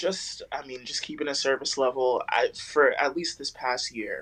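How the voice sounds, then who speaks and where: At a fairly slow pace, a woman talks. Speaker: podcast co-host. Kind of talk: casual chat.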